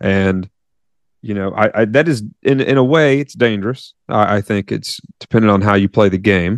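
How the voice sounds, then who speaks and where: Recorded with a dry, close sound with no echo, a man uses a plain, everyday voice at a fairly low pitch, a moderate pace and ordinary pitch variation. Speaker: podcast co-host. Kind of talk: casual chat.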